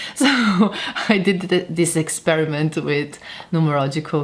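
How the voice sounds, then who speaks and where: A woman speaks with a non-native accent. Her very deep, low pitch shows ordinary variation. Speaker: tarot reader and harpist. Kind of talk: casual talk to camera.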